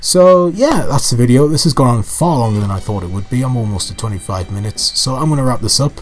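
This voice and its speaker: A man's medium-pitched voice at a very fast pace, hardly any pauses, lively intonation, and music in the background. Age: 20s. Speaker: gaming YouTuber. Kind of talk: unscripted commentary monologue. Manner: rambling with many fillers (um, ah, like); repeats words, some hesitation.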